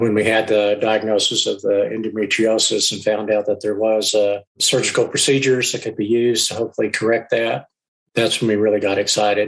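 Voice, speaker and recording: A man talks in an American accent at a fairly quick pace. His intonation stays monotone and flat. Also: fairly low pitch for a man. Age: 70s. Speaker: businessman. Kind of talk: podcast interview answer.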